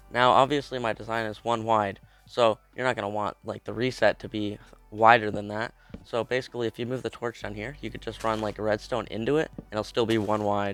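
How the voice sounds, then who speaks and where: Music plays in the background as a man speaks at a fairly quick pace. His medium-pitched voice stays monotone and flat. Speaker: Minecraft redstone tutorial creator. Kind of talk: tutorial. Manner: casual.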